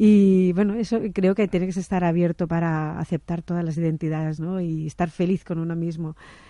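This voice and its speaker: With a Catalan accent, a woman talks at a moderate pace with hardly any pauses, her fairly low pitch, dark and mellow tone and fairly even intonation set against a quiet background. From Barcelona, Catalonia. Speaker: interview guest. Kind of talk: radio interview.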